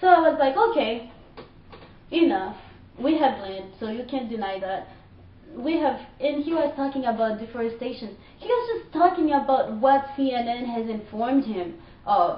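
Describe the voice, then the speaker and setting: Someone with a Haitian accent talks at a moderate pace with lively intonation, amid noticeable background noise and audible room echo. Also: woman, high pitch for a woman. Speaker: vlogger. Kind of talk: personal rant. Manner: animated.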